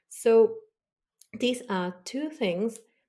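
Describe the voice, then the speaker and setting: A woman with a non-native accent speaks very slowly in a dark, mellow tone. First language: not English. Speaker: body language expert. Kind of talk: podcast interview.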